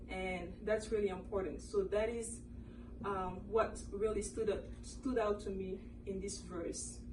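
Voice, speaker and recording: With a French accent, a woman speaks at a moderate pace, heard with audible room echo and noticeable background noise. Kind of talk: casual Bible discussion.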